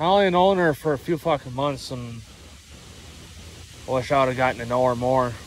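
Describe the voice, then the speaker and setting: Lively intonation comes at a moderate pace in a dry sound with no echo, with light background noise. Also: man. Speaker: vlogger. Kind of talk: casual vlog chat. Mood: mildly frustrated, reflective. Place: forest. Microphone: phone near.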